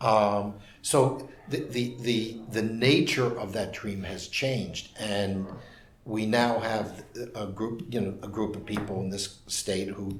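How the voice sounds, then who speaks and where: A man with a New York accent speaks very slowly at a fairly low pitch, his intonation fairly even. Audible room echo and noticeable background noise fill the recording. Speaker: urban policy commentator. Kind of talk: interview.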